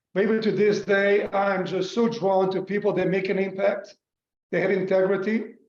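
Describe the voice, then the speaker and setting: Flat, monotone intonation from a man with a high pitch, at a moderate pace. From North Macedonia, Skopje. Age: 60s. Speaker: business executive. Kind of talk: interview. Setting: video call.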